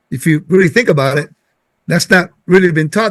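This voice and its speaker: With a Puerto Rican accent, a man talks in a high-pitched voice. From Puerto Rico. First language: Spanish. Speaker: Bible teacher. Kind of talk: casual teaching conversation.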